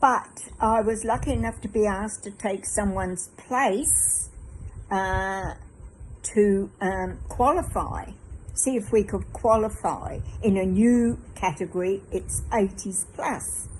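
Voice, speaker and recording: Speaking very slowly with an Australian accent, a woman uses a medium pitch, fairly even intonation and vocal fry. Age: 80s+. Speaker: fitness client. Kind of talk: testimony. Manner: halting.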